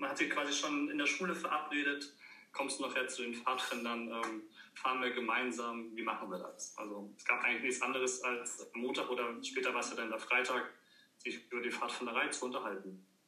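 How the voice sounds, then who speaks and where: A man's medium-pitched voice at a fairly quick pace, with ordinary pitch variation, audible room echo and noticeable background noise. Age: 30s. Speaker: former scout and camp medic. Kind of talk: casual chat.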